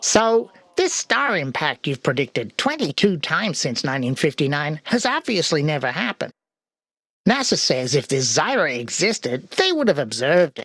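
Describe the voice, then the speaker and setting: Using a cartoonish character voice, a man speaks fairly high at a moderate pace with very wide pitch swings. The sound is dry and close, with no echo. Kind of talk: talk show host patter. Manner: sardonic, breezy.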